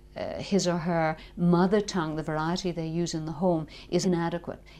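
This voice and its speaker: Speaking at a fairly quick pace in a strong Northern Irish accent, a woman has a medium pitch and a dark, mellow tone. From Northern Ireland. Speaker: linguistics lecturer. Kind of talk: interview.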